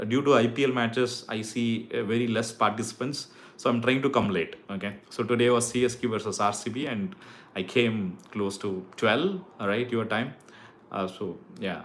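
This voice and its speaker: Here a man speaks at medium pitch and a moderate pace. His pitch varies in an ordinary way. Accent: Tamil Indian. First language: Tamil. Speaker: YouTuber giving hair transplant advice. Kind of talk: live stream chat with viewers. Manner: casual, halting with fillers.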